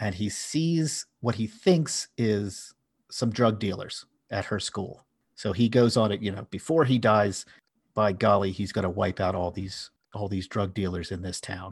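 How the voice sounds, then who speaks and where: A man with an American accent speaks fairly slowly at a fairly low pitch, somewhat breathy, with ordinary pitch variation. The background is quiet. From US, Philadelphia. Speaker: podcast host. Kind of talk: casual chat.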